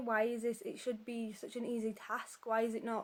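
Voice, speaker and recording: The voice has a Yorkshire accent. The pace is moderate. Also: woman. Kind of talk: casual talk to camera. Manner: hesitant, conversational.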